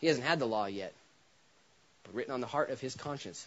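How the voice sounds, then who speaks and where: This is a man speaking with lively intonation. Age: 30s. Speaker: pastor. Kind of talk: sermon.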